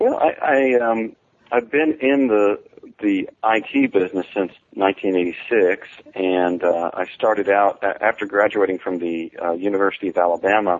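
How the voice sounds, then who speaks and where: A man with a plain, everyday voice, fairly low in pitch, with ordinary pitch variation, at a fairly slow pace, in an American accent. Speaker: database expert and author. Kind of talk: interview.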